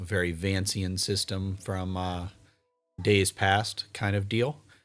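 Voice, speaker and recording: A man's fairly low voice over background music. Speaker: live streamer and game organizer. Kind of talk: livestream talk. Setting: home livestream. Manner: monotone; halting.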